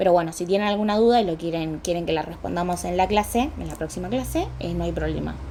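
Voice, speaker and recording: Over noticeable background noise and audible room echo, a woman talks at a very fast pace with hardly any pauses. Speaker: dermatology lecturer. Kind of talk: lecture.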